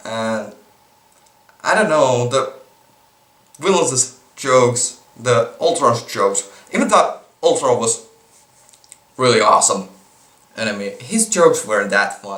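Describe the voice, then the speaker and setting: A man speaks at a fairly slow pace with a Finnish accent, leaving long, frequent pauses. Noticeable background noise runs under his voice. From Finland. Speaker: movie reviewer vlogger. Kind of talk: casual vlog review. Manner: halting, with repetitions and false starts.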